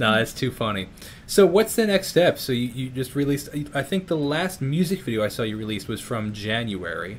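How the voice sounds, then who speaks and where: The pitch swings very widely while the speech keeps a fairly quick pace. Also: man, medium pitch for a man. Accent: American. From New York. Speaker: YouTuber and musician. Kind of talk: casual interview chat. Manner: halting.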